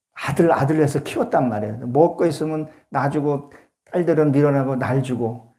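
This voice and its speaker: Amid audible room echo, a man with a fairly high pitch and a dark, mellow tone speaks at a fairly quick pace. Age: 60s. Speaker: pastor. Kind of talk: sermon.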